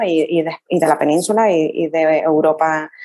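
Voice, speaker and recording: The speaker is a woman. She has a Canarian accent. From Canary Islands, Tenerife. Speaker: rural tourism entrepreneur. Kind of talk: interview.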